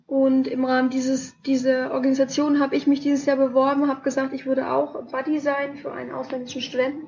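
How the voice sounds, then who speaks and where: A woman speaks very fast in a high pitch, with hardly any pauses and flat, monotone intonation. Noticeable background noise runs underneath. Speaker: student podcast co-host. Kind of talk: casual explanatory chat. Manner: halting. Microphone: laptop mic.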